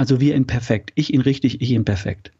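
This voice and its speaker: Here a man talks at a fairly quick pace. His voice is somewhat breathy and fairly high. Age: 50s. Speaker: health coach and former engineer. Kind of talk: interview.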